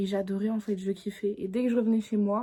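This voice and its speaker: This woman's medium-pitched voice is somewhat breathy, with a dark, mellow tone and monotone, flat intonation. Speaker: YouTuber. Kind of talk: casual chat. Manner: halting.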